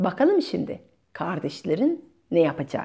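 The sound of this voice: A woman uses a put-on character voice, fairly low, dark and mellow with a slightly husky edge and vocal fry, swinging widely in pitch at a moderate pace in a very clean recording with a silent background.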